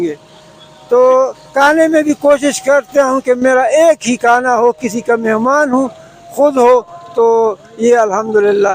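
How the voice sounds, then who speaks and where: This man's voice sits at an extremely high pitch, sounding dry and close without echo over noticeable background noise. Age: 60s. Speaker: cyclist, retired government officer. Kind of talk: interview answer.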